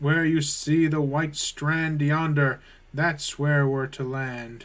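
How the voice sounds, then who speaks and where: A man uses a put-on character voice at a fairly high pitch. He talks very slowly in a monotone, flat intonation. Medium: game stream.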